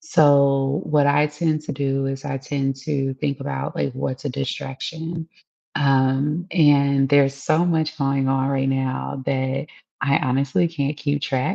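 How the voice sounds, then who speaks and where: Quiet, at a very slow pace. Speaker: political commentary streamer. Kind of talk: casual live-stream monologue. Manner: quiet, low volume; casual, filler-heavy.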